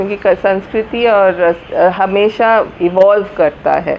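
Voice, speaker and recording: A woman speaks in a Malayalam accent with ordinary pitch variation. Noticeable background noise runs beneath her. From Kolkata, India. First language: Malayalam (speaking Hindi). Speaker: literary festival organiser. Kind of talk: interview. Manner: halting.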